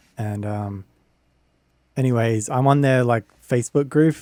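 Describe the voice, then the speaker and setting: A man with an Australian accent at a moderate pace, dry and close with no echo, on a very clean recording with a silent background. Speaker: music producer and video host. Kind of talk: casual chat.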